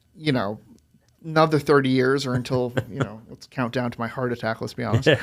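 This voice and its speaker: A man's medium-pitched voice at a fairly quick pace, fairly even in intonation but with big swings in loudness. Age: 30s. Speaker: aviation business founder. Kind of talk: podcast interview.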